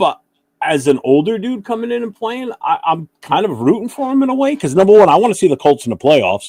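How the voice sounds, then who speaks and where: A man with an East Coast US accent speaks at a fairly quick pace in a high pitch, his dark, mellow tone making very wide pitch swings over a dry, close sound with no echo. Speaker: sports podcast co-host. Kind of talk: casual sports chat. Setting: live streamed podcast.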